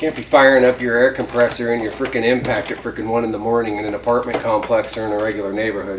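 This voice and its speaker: The speaker mumbles at a very fast pace with hardly any pauses, over noticeable background noise. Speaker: DIY hobbyist filming an assembly. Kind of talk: casual assembly tutorial. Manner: mumbling, talking to himself.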